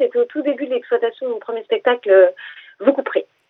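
This woman speaks with a high pitch. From Essonne, Paris region, France. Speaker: comedian. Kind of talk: radio interview. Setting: phone call.

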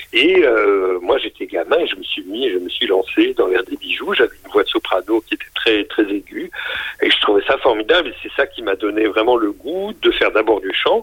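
A man talks at moderate speed while noticeable noise fills the background. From northern France, Lille. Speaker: opera house director. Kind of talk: radio interview. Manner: hesitant, many fillers.

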